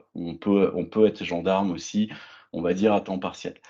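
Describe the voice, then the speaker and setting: Quick-paced and fairly low, a man's voice has a dark, mellow tone over a quiet background. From France. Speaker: agile coach and former reserve gendarme. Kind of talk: conference keynote. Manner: hesitant, many fillers.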